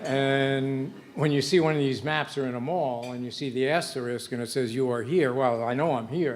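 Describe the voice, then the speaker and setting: Speaking at a moderate pace with hardly any pauses, a man with a medium pitch and ordinary pitch variation is heard over audible room echo and noticeable background noise. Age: 70s. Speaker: retired professor honored at birthday dinner. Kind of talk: after-dinner speech. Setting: banquet room with audience. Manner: halting, many fillers.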